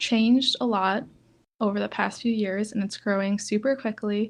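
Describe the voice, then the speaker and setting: A woman at medium pitch with fairly even intonation, moderate in pace, against a quiet background. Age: 20s. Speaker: podcast host. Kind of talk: casual chat. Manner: hesitant, filler-heavy.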